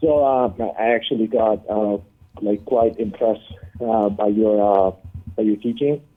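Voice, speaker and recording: A man at a medium pitch and a moderate pace, fairly even in intonation, with music in the background. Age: 20s. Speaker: caller. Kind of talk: phone-in call. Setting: phone call. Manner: halting, many fillers.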